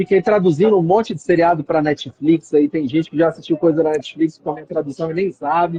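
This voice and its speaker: With a strong Minas Gerais accent, a man speaks with ordinary pitch variation. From Minas Gerais, Brazil. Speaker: real estate company executive. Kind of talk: interview.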